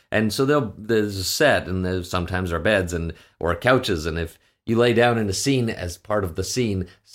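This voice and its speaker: On a very clean recording with a silent background, a man with a Canadian accent uses a normal speaking voice, speaking fairly quickly at a fairly low pitch with ordinary pitch variation. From western Canada (Saskatchewan). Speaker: actor and voice director. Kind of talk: casual interview chat.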